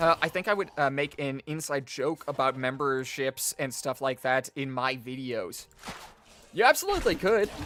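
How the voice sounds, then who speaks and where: A man talks at a moderate pace with a fairly high pitch. The sound is dry and close with no echo, and background noise is noticeable. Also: ordinary pitch variation. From Australia. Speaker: gaming streamer. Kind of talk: casual chat while live streaming a game. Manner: halting, many fillers.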